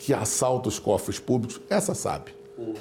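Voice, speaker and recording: Against noticeable background noise, a man talks at a moderate pace and a medium pitch. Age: 60s. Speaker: public prosecutor. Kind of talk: studio interview. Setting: studio.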